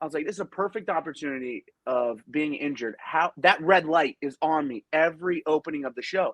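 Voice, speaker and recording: With a dry, close sound and no echo, a man speaks at a fairly quick pace with hardly any pauses, a fairly high pitch and ordinary pitch variation. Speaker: professional wrestler. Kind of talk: interview. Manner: loud; animated.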